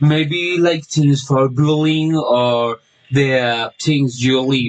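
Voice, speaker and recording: A man speaks with a Spanish accent. His pitch is fairly high and varies in an ordinary way. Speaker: language student. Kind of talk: class assignment monologue. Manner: halting, many fillers.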